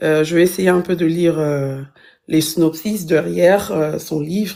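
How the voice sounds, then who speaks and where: A woman with a non-native accent speaks at a fairly slow pace, her fairly low pitch carrying a dark, mellow tone over fairly even intonation. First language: not French (multilingual, intermittent francophone) (speaking French). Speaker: book reviewer. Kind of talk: book review in a live stream. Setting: live stream. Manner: halting, many fillers.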